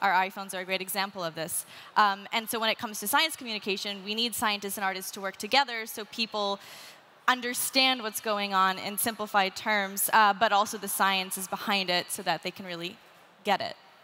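With a Canadian accent, a woman speaks at a fairly quick pace in a bright, sharp tone, her intonation fairly even but her loudness swinging widely. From Canada. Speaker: inventor and writer. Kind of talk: panel discussion. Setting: stage with live audience. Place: stage. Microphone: headset.

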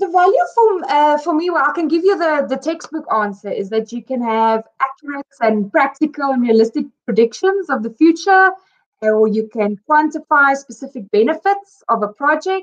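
A woman's high voice with very wide pitch swings, at a moderate pace with hardly any pauses. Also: quiet background. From South Africa. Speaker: simulation engineer. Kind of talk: casual interview. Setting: video call. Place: home room. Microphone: video call.

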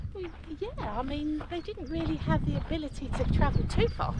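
The speech moves at a moderate pace with a dry sound and no echo. Loud background noise runs underneath. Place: open country. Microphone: phone near.

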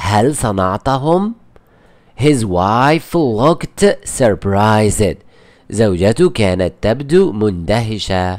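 A man's fairly low voice at a very slow pace, lively in intonation and very even in loudness. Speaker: English teacher. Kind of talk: tutorial. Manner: repetitive, slow explanatory.

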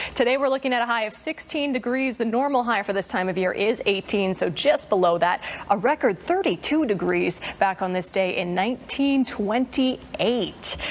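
A woman's fairly high voice, upbeat in tone, with lively intonation and hardly any pauses. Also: moderate pace. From Canada. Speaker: TV weather presenter. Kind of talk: TV weather forecast. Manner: upbeat, friendly.

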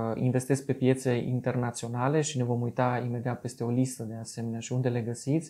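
A man against a quiet background. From Romania, Târgu Mureș; Romania. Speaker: investing video blogger. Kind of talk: tutorial. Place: office. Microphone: camera far.

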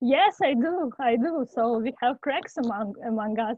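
In a dry sound with no echo and a quiet background, the speaker talks with a non-native accent. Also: woman. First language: not English. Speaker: academic researcher presenting a webinar. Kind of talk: webinar presentation. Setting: video call. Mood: warm, welcoming. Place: home room.

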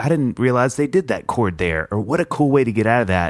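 Delivered at a fairly quick pace with lively intonation, a man's ordinary speaking voice comes through in a dry, close sound with no echo. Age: 40s. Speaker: podcast host. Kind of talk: casual comedic chat. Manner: jokey, laughs often.

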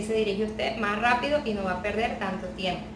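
A woman's voice with fairly even intonation over noticeable background noise. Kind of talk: tutorial. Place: home room.

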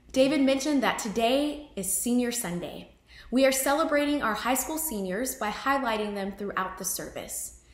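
A woman speaks at a high pitch and a moderate pace. Audible room echo surrounds her voice. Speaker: associate pastor. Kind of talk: church service welcome and announcements. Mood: warm, welcoming. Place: home room.

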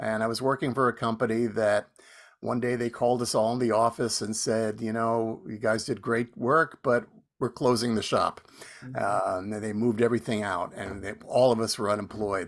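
Against a quiet background, a man with an American accent talks at a moderate pace, medium in pitch with fairly even intonation. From New Jersey. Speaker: folk radio host. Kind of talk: casual chat. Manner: halting.

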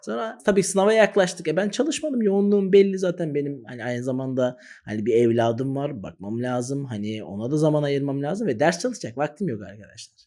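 Speaking at a fairly quick pace with hardly any pauses, a man with a dark, mellow, fairly high voice makes very wide pitch swings and big swings in loudness. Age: 30s. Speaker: exam-prep teacher, YouTuber. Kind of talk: direct-to-camera advice talk.

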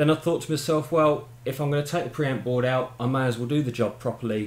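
A man speaks with audible room echo around him. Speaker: hobbyist demonstrating equipment. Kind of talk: tutorial. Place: home room.

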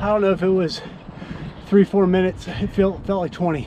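Faint background noise sits under a man's high-pitched voice with a dark, mellow tone. He keeps a moderate pace and fairly even intonation.

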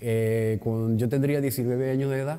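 He is a man speaking at a moderate pace with ordinary pitch variation. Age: 60s. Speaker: retired theatre technical director and actor; actor. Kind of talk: interview. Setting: theatre lobby. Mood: relaxed, anecdotal storytelling. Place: hall.

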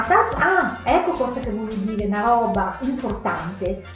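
A woman speaks at a fairly slow pace in a Venetian accent. Faint music plays behind her, and there is audible room echo. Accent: Venetian, Paduan. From Padua, Veneto, Italy. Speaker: vlogger. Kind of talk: casual talk to camera. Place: kitchen. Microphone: webcam.

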